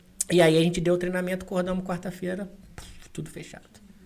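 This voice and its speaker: A man's very fast speech with audible room echo. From Valença, Rio de Janeiro state, Brazil. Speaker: business consultant. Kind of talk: casual chat.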